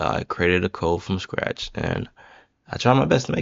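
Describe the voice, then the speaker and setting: The speaker is a man. He has a very deep, low pitch. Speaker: student presenting app project. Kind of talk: project presentation. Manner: filler-heavy, casual; halting, stumbling over words.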